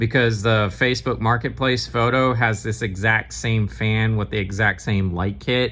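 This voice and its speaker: A man speaks fairly slowly in a fairly low pitch with vocal fry and ordinary pitch variation. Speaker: ceiling fan collector and video host. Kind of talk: casual product showcase. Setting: at home, sitting on couch. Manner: hesitant with fillers.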